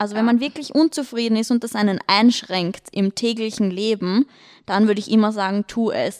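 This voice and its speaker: A woman with a Viennese accent and a fairly high pitch, in a dry, close sound with no echo. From Austria, Vienna. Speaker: lifestyle blogger, podcast co-host. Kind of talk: casual chat.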